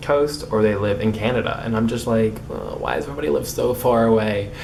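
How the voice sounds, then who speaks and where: A man's fairly low voice at a fairly quick pace, with ordinary pitch variation, audible room echo and noticeable background noise. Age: young. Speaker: vlogger. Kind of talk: casual vlog monologue. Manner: halting, with repetitions and blocks.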